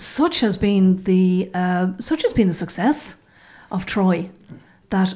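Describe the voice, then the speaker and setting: A woman speaks with an Irish accent at a very slow pace. Her medium-pitched voice is dark, mellow and somewhat breathy, with ordinary pitch variation. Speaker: journalist. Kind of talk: casual chat. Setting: studio.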